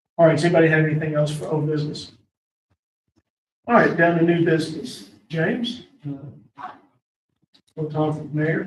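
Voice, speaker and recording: A man's fairly high pitch with ordinary pitch variation, a moderate pace, long, frequent pauses and audible room echo. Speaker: county board chair. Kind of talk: meeting chairing. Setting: county board meeting room.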